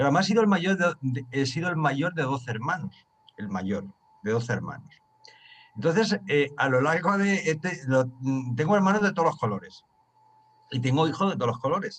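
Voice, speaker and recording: A man speaks at a fairly quick pace in a fairly high pitch. His voice moves through very wide pitch swings. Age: 60s. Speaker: study group leader. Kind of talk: group discussion.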